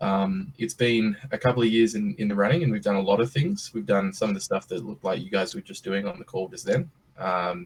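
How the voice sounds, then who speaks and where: With an Australian accent, a man speaks at a fairly quick pace in a fairly low pitch that makes very wide swings. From Australia (Western Australia). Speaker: startup CEO. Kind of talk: presentation on video call. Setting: video call. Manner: casual, hesitant with many fillers.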